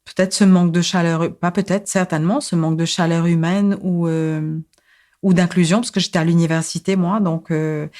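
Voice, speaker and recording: A woman speaks at a moderate pace in a fairly low, dark, mellow voice. Her intonation is fairly even, and the recording is very clean with a silent background. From Mauritius. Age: 40s. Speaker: psychosociologist and social activist. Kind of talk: podcast interview, personal life story. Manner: hesitant, many fillers and repetitions.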